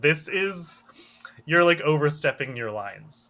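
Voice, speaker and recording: A man puts on a character voice, talking fairly slowly at a fairly high pitch. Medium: actual play. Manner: condescending.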